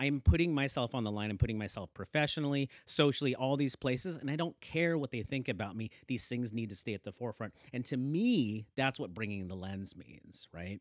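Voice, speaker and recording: A man with a Pacific Northwest accent talks at a medium pitch and a fairly quick pace, with lively intonation and an animated tone. The recording is very clean, dry and close, with no echo and a silent background. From Oregon, Hillsboro area (born in the Philippines). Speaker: cycling advocacy nonprofit co-founder. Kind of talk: casual interview.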